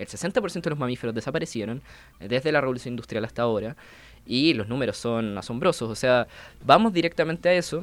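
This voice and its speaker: A man's ordinary speaking voice at medium pitch and a fairly quick pace. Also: lively intonation. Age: 20s. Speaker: climate activist and engineer. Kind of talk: radio interview.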